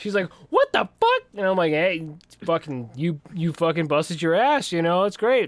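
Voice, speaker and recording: A man with a high pitch and an American accent keeps a moderate pace, ordinary pitch variation and very even loudness. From Western Pennsylvania. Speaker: podcast co-host, army recruiter. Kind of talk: casual chat. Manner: animated.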